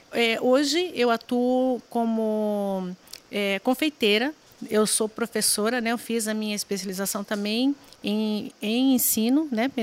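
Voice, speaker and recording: Here a woman talks at a fairly slow pace and fairly high pitch. She has an unremarkable speaking voice. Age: 40s. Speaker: pastry chef and gastronomy teacher. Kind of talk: casual interview chat.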